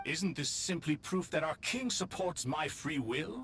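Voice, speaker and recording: Using a put-on character voice at fairly high pitch, a man talks at a moderate pace over clear background noise. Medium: video game.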